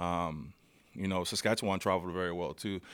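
A man with a very deep, low pitch talks in an American accent. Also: very clean recording, silent background. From US South (New Orleans and Dallas area). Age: 30s. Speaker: professional football player. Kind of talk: casual chat. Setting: studio.

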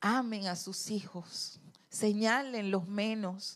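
In a room with audible echo, a woman at a medium pitch speaks very slowly with fairly even intonation. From Venezuela, Trujillo (Andes). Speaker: retired university worker, church marriage ministry leader. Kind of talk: testimony. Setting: church pulpit.

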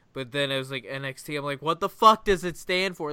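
Bright and sharp in tone, a man with an American accent speaks with ordinary pitch variation in a very clean recording with a silent background. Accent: Ohio accent, changing. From Ohio. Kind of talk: casual chat. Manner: halting, many fillers.

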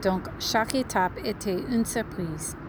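A woman at a fairly slow pace, with noticeable background noise. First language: English (speaking French). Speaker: podcast listener. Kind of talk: recorded voice message.

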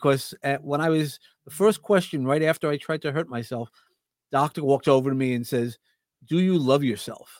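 A man with a New York accent and a fairly high pitch, fairly quick in pace with ordinary pitch variation, on a very clean recording with a silent background and a dry, close sound with no echo. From Brooklyn, New York. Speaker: podcast host and speaker. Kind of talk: casual interview chat.

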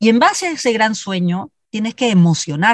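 A woman with a plain, everyday voice, fairly high in pitch with lively intonation, at a moderate pace, in a dry, close sound with no echo. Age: 50s. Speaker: leadership consultant and speaker. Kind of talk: interview.

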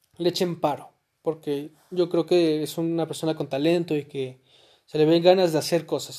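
The recording is very clean, with a silent background. A man with a Mexican accent speaks in a high voice with a dark, mellow tone. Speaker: podcaster. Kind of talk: casual monologue. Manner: halting.

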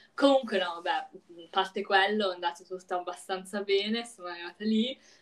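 Noticeable background noise beneath long, frequent pauses. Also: woman. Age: young. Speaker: podcast co-host. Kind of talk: casual chat. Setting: call.

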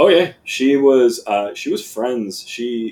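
A man's voice with an American accent. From South Florida. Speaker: sales account executive. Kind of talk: casual chat.

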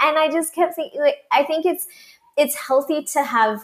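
Lively intonation marks a woman's normal speaking voice at a moderate pace. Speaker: manifestation coach and podcaster. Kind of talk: casual interview chat.

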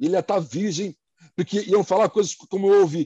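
Pitched high, a man talks at a fairly quick pace in a dark, mellow tone, his pitch swinging very widely. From Brazil, Santos (São Paulo coast). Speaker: place branding consultant. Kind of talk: casual chat.

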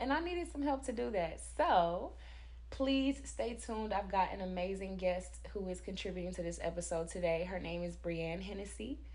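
Noticeable background noise accompanies a woman who talks at a moderate pace. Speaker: podcast host. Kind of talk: casual interview chat.

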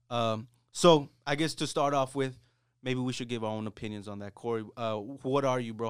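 In a plain, everyday voice, a man talks at a fairly quick pace with medium pitch and fairly even intonation over a very clean recording with a silent background. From US, Mexican-American. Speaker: podcast co-host. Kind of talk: casual chat. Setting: studio.

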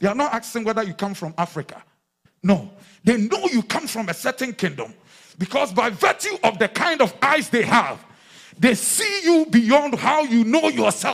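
Speaking in an animated tone, a man with an extremely high pitch makes very wide pitch swings. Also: moderate pace. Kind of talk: sermon with call-and-response prayer. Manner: animated, exhortative, rallying the congregation.

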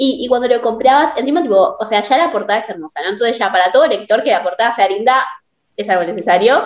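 Talking at a very fast pace with a Rioplatense accent, a woman uses a high pitch and very wide pitch swings. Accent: Argentine Rioplatense Spanish. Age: young. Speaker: podcast host. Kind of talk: casual chat.

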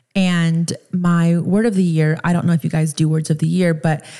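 A woman with an American accent speaks in an animated tone at a moderate pace, with a fairly low pitch and a somewhat breathy voice. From US East Coast and Miami. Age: 30s. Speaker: podcast host. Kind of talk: casual monologue.

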